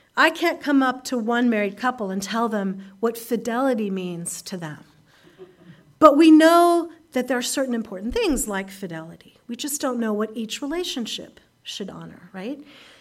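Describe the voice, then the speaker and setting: A woman with a plain, everyday voice, lively intonation, a moderate pace and big swings in loudness. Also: fairly high pitch for a woman. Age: 50s. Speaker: guest preacher at a Unitarian Universalist congregation. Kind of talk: sermon. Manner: conversational with frequent fillers.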